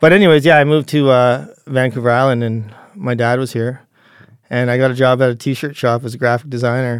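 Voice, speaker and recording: In a Canadian accent, a man with a normal speaking voice and medium pitch talks at a fairly quick pace in fairly even intonation, recorded very cleanly against a silent background. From Calgary, Alberta, Canada. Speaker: cameraman and video editor. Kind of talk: casual interview chat.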